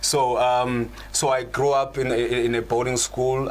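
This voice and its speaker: Against noticeable background noise, a man speaks at a fairly slow pace and medium pitch. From South Africa, Gauteng (East Rand). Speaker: channel host, spiritual practitioner. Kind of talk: conversational panel discussion. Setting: live online show. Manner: halting, many repetitions.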